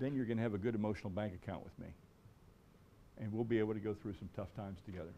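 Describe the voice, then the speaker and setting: A man's fairly low, dark, mellow voice with an American accent, very fast pace yet long, frequent pauses, fairly even intonation and audible room echo. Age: 60s. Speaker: sports marketing lecturer. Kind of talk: lecture.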